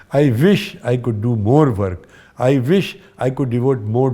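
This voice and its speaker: A man speaks at a medium pitch with a dark, mellow tone and ordinary pitch variation. The recording is very clean, with a silent background. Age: 80s+. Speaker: veteran theatre and film actor. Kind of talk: interview conversation.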